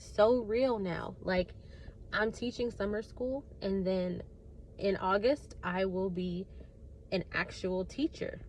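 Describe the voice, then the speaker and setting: Here a woman speaks at a very slow pace. Her pitch is medium. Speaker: new elementary teacher, vlogger. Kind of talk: casual vlog. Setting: outdoors outside school. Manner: casual, many fillers.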